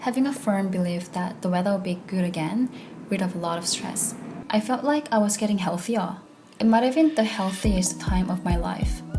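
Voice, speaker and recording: Noticeable background noise and audible room echo surround a woman who speaks at a moderate pace and medium pitch with ordinary pitch variation. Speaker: vlogger. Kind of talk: personal vlog monologue.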